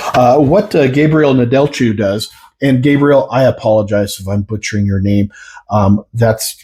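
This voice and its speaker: A somewhat breathy man's voice at medium pitch with ordinary pitch variation and a fairly slow pace, on a very clean recording with a silent background. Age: 60s. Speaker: product reviewer. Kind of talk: product review. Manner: halting, many fillers.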